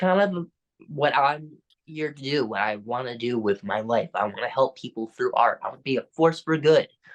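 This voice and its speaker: A man with a normal speaking voice talks at a moderate pace, fairly high in pitch with lively intonation. The sound is dry and close, with no echo. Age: young. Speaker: musician and actor. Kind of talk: interview answer.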